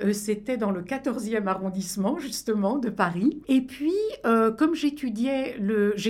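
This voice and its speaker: Very slowly, a woman speaks in a fairly high pitch with lively intonation. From France. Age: 70s. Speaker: film festival founder. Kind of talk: radio interview.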